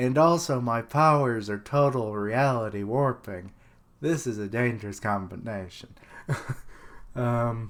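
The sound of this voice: Pitch varies in an ordinary way throughout this unforced reading voice.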